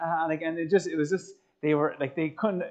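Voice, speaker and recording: A man with an Irish accent talks very fast at a high pitch. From Ireland. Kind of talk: motivational talk to young audience. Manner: animated, conversational.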